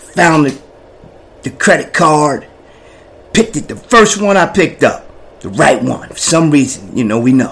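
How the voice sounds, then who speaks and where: A man with an American accent, fairly high in pitch, with an animated tone, very wide pitch swings and a moderate pace. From New Jersey, Jersey City projects. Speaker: person in addiction recovery. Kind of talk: personal testimony.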